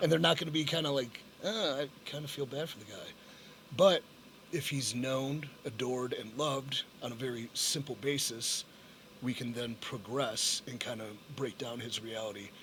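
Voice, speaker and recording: This man, a normal speaking voice, talks at a moderate speed, his medium pitch varying in an ordinary way. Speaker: professional wrestler. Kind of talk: podcast interview answer.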